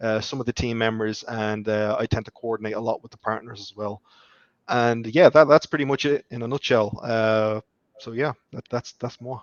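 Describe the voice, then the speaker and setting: A man with an Irish accent, medium pitch, moderate pace, fairly even intonation and big swings in loudness. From Ireland. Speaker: software developer and project manager. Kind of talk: interview.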